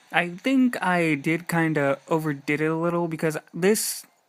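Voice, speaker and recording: A man talks fairly slowly, his high voice showing ordinary pitch variation. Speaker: gaming YouTuber. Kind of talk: gameplay commentary. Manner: halting.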